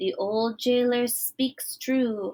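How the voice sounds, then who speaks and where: A woman's quiet, high-pitched put-on character voice. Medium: read story. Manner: sly, hushed.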